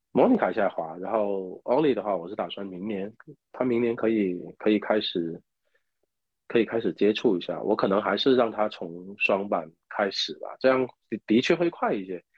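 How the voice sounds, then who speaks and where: Speaking at a moderate pace, a man with a fairly low pitch shows ordinary variation in his tone. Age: 30s. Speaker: ammunition maker and ski instructor. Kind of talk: interview. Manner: halting.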